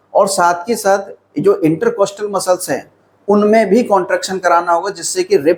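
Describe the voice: A man talks at a fairly quick pace and a high pitch. His tone is slightly mellow, with a slightly husky edge.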